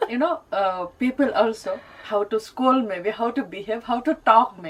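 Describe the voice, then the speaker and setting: Noticeable background noise behind a woman's fairly high voice at a moderate pace. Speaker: radio talk show host. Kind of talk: interview question.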